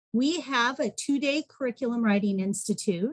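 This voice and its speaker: A woman speaks at a moderate pace in a fairly high, somewhat breathy voice. Her pitch varies in an ordinary way, and the sound is dry and close with no echo. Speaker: education program coordinator. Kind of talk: webinar presentation.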